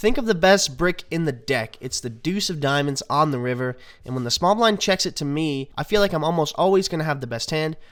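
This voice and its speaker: A normal speaking voice from a man, fairly high in pitch, with lively intonation and hardly any pauses. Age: young. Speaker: poker player. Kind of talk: poker vlog voice-over. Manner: upbeat.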